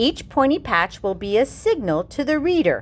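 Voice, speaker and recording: Over clear background noise, a woman uses a high-pitched put-on character voice with very wide pitch swings. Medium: read story. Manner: patient, kindly.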